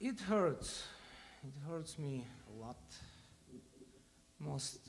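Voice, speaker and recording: With a Russian accent, a man talks at a very slow pace in a fairly high voice, his intonation lively and audible room echo around him. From Ukraine. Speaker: bandleader. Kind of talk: speech to audience between songs. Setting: stage with audience.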